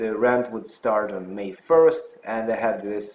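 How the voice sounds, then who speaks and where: A man with a Russian accent, medium pitch and a fairly slow pace. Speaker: physician and health channel host. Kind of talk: personal story vlog. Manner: hesitant with fillers.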